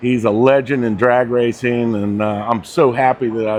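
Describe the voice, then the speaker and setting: Delivery moves at a moderate pace. Intonation stays monotone and flat throughout. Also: man. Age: 60s. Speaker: car show interviewer. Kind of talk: casual interview questions.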